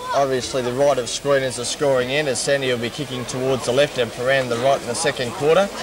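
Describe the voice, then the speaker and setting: Crowd noise fills the background. A man with an Australian accent speaks at a fairly quick pace. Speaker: football commentator. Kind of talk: live Australian rules football commentary, describing play-by-play at the ground. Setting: at the ground. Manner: casual, conversational and relaxed, with a local-radio feel. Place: stadium. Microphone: old recording.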